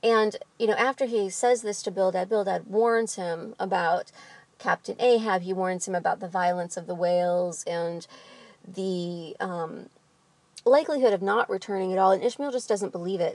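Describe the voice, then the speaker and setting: With a slight Midwestern accent, a woman speaks at a moderate pace and medium pitch, using ordinary pitch variation. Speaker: literature vlogger. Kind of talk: book discussion monologue. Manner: casual with frequent fillers.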